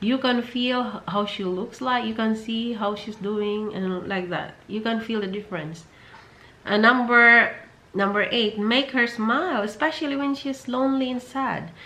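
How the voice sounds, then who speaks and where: A woman's bright, sharp tone, fairly high in pitch, with ordinary pitch variation at a moderate pace. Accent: Filipino. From Philippines. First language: Filipino. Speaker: vlogger. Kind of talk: advice vlog. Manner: halting, repetitive.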